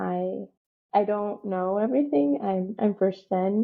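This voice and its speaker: A woman with a slight non-native accent speaks at a fairly slow pace. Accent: slight non-native, barely noticeable. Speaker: community advocate. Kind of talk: interview. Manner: casual, filler-heavy.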